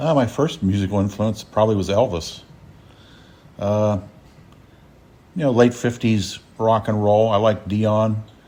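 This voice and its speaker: Leaving long, frequent pauses, a man speaks fairly slowly in a dark, mellow tone, fairly low in pitch with ordinary pitch variation. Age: 60s. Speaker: retired dentist and novelist. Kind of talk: interview.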